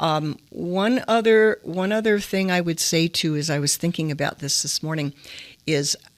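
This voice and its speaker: Her pitch is fairly low, with ordinary variation. The woman speaks at a moderate pace in an American accent. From US Midwest, Detroit, Michigan. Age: 60s. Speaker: entrepreneur. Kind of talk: interview.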